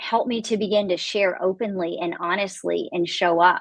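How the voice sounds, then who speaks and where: A woman with a Texan accent at a moderate pace. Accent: Texan Southern US. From Texas. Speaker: author. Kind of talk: casual chat. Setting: live stream video call.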